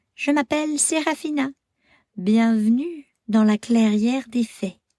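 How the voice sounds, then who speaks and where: This is a put-on character voice that sounds female and high-pitched. It unfolds at a fairly slow pace. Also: very clean recording, silent background. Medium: read story.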